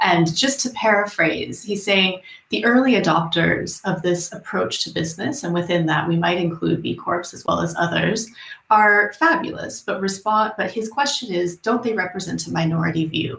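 With vocal fry, a woman speaks at a moderate pace, her medium pitch showing ordinary variation. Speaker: academic researcher, moderator. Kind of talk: panel moderation. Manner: formal.

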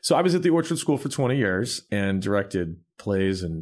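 On a very clean recording with a silent background, a man speaks at a fairly low pitch in an unremarkable speaking voice. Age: 40s. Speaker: pianist and songwriter. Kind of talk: casual interview chat.

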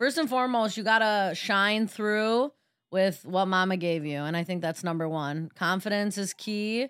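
A woman of medium pitch speaks at a moderate pace in an animated tone with ordinary pitch variation. The recording is very clean, with a silent background. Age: 20s. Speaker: podcast host and creative producer. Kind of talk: casual chat. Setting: studio.

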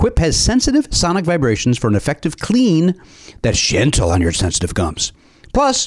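A fairly high-pitched man with an American accent, at a fairly quick pace. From Chicago. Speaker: comedy podcast host. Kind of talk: casual chat. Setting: studio.

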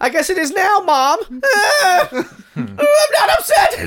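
At a fairly slow pace, a shrill, extremely high-pitched put-on character voice carries the speech. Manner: upset, shrill.

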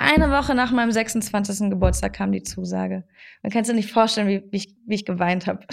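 A woman talks at a fairly quick pace, captured in a very clean recording with a silent background. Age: 20s. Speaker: actress and podcast host. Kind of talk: casual chat. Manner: animated.

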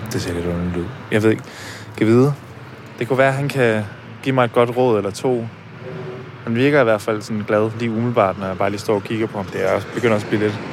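A man at medium pitch talking very fast with fairly even intonation, long, frequent pauses, and music in the background. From Denmark, Herning (Jutland). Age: 20s. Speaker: podcast host. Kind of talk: personal documentary narration. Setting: café.

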